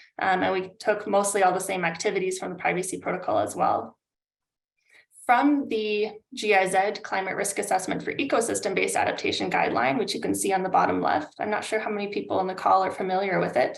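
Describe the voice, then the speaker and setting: In a Canadian accent, a woman talks at a very fast pace. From Canada. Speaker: climate adaptation consultant. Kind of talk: webinar presentation. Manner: hesitant, many fillers.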